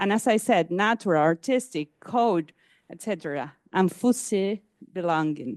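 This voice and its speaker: In a Spanish accent, the speaker talks at a fairly slow pace against a quiet background, the sound dry and close with no echo. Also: woman. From Argentina. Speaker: academic conference speaker. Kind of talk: conference talk. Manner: halting, with many fillers.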